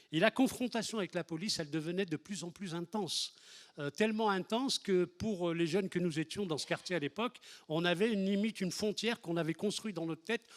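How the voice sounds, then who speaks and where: In a dry, close sound with no echo, a man talks at a very fast pace with a high pitch. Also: ordinary pitch variation. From France, Lyon area (Les Minguettes), Algerian-born. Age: 60s. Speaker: activist, historic 1983 marcher. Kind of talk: testimony. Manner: halting, many hesitations and repetitions.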